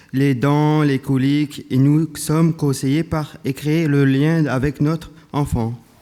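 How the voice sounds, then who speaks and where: In a very clean recording with a silent background, a man with a dark, mellow tone and fairly high pitch speaks at a very slow pace. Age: 30s. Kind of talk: prepared speech read at a conference.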